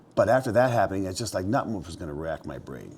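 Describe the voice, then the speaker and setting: Over noticeable background noise, a man with a very deep, low pitch talks at a very fast pace with lively intonation. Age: 60s. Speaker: mountain man and outfitter. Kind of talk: casual interview storytelling. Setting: indoors by fireplace at his mountain property.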